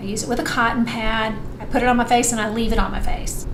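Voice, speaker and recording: The speaker's pitch varies an ordinary amount against noticeable background noise. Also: woman. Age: 50s. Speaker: skincare vlogger. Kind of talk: casual talk to camera.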